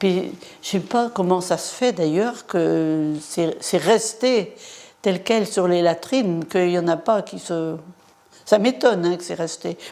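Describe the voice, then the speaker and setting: Her speech comes at a very slow pace, with a dark, mellow tone. The woman has a medium pitch and ordinary pitch variation. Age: 80s+. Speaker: local resident witness. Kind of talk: interview testimony.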